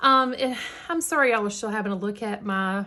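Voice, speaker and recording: A woman speaks with a Southern US accent. Her voice is fairly high-pitched with a bright, sharp tone. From US South, Georgia. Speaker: crafting YouTuber. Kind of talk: casual tutorial chat. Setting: home in the country.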